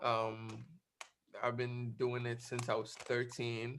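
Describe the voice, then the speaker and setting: A man speaks very slowly at a medium pitch, his tone bright and sharp. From West Africa. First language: not English. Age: 19. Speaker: music producer. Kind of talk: online class talk. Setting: video call. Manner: halting, many fillers.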